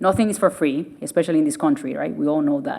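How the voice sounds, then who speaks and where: A woman with a Spanish accent speaks with very wide pitch swings. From Venezuela. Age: 30s. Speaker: surgeon. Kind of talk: public lecture.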